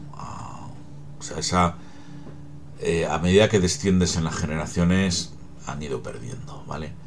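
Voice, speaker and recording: The speech moves at a fairly slow pace with lively intonation, long, frequent pauses and big swings in loudness. Audible room echo and noticeable background noise fill the recording. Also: man, very deep, low pitch for a man. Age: 50s. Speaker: podcaster on psychology and genealogy. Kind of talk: solo talk, explanatory monologue.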